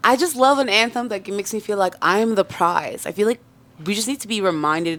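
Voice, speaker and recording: A woman with a normal speaking voice talks at a fairly quick pace and medium pitch, with big swings in loudness. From Canada, Toronto area (born in Congo, moved at three). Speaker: singer. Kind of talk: casual interview chat.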